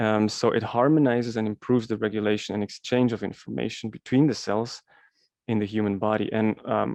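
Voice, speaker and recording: Delivered with a non-native accent, the speech has fairly even intonation and a dry, close sound with no echo. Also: man, fairly low pitch for a man, fairly quick pace. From Switzerland. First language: Swiss German. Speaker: alternative health presenter. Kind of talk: presentation. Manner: hesitant with many fillers.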